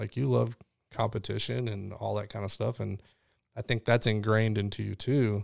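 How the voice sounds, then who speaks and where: A man with an American accent has an ordinary speaking voice, a fairly low pitch, ordinary pitch variation and a moderate pace. The recording is very clean and dry, close with no echo and a silent background. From Illinois (Chicago, Rockford). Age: 40s. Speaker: former soldier, police officer and coach. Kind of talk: casual chat.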